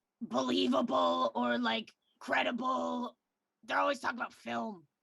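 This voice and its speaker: A raspy, put-on character voice sits at a low-to-middle pitch and moves at a moderate pace. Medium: game stream. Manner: rambling, filler-heavy.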